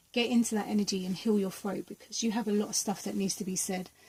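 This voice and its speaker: Her intonation monotone and flat, a woman talks at a medium pitch. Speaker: tarot and energy reader. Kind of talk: pick-a-card tarot reading.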